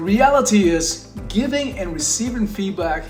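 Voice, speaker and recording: The voice moves at a fairly slow pace with very wide pitch swings. Music plays in the background. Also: man. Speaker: leadership coach. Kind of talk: talk to camera on leadership.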